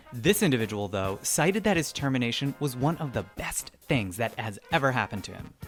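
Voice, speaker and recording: A man talks at a fairly quick pace and medium pitch, with hardly any pauses. His pitch swings very widely and his loudness swings a lot, over music in the background. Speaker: podcast host. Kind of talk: podcast intro read.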